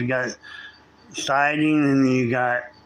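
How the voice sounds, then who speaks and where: Noticeable background noise fills the recording. Through it comes a man's medium-pitched voice. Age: 60s. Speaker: live streamer doing home repairs. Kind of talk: casual live stream chat. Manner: rambling, halting with repeats.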